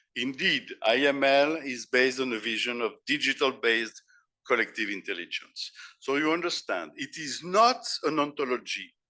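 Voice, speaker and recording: A man with a French accent, fairly high in pitch, bright and sharp in tone, with lively intonation and a moderate pace. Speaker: philosopher and keynote speaker. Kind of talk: conference keynote lecture. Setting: conference stage with audience. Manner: halting, with repetitions.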